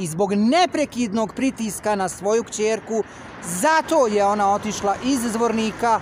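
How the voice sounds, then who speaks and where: Light background noise sits behind a man's high-pitched voice, which shows ordinary pitch variation in a dry sound with no echo. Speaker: vlogger. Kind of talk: casual vlog chat, complaint monologue. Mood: aggrieved, insistent. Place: street. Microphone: phone near.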